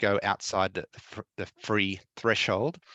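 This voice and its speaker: A man with an Australian accent, fairly low in pitch and bright, sharp in tone, against a quiet background with a dry, close sound and no echo. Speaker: tech presenter. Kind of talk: tutorial. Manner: fast; hesitant, many fillers.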